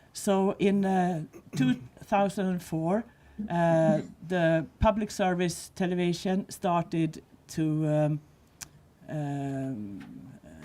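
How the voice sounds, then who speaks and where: In a Swedish accent, the voice has a dark, mellow tone and ordinary pitch variation. It goes at a very slow pace with long, frequent pauses. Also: woman, fairly low pitch for a woman. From Sweden. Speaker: visually impaired advocate. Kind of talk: panel discussion. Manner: halting.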